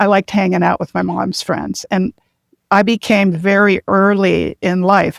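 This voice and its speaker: A woman's voice carries vocal fry and fairly even intonation, heard dry and close with no echo on a very clean recording with a silent background. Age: 70s. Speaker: health coach and retired addiction counselor. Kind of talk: personal testimony. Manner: occasional hesitations and self-corrections.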